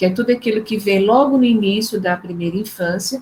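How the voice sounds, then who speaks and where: Woman's voice, somewhat breathy, its pitch varying in an ordinary way. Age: 60s. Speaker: psychologist, neuropsychologist, professor. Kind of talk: online talk.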